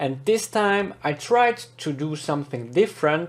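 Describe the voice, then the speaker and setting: With a Swiss German accent, a man speaks at a fairly slow pace and with ordinary pitch variation. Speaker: podcast host, English learner. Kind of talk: scripted podcast narration.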